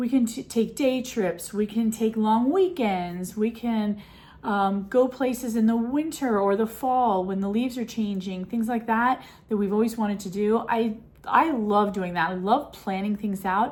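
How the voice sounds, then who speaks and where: A woman with a fairly high pitch speaks at a moderate pace in a somewhat breathy voice. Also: ordinary pitch variation. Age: 60s. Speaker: lifestyle vlogger. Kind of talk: casual chat. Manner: animated.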